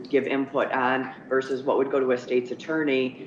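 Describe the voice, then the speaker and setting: Over noticeable background noise, a woman talks with a very deep, low pitch. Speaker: ethics commission member. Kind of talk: interview. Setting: video call.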